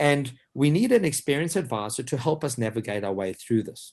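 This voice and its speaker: This is a man's voice. His pitch is fairly high. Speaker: financial advisor. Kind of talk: webinar presentation. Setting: online webinar. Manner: fast; animated.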